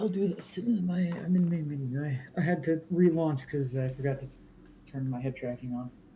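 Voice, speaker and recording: At a fairly quick pace, the speaker talks quietly. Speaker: gamer. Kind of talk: casual gaming chat. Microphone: a little quiet.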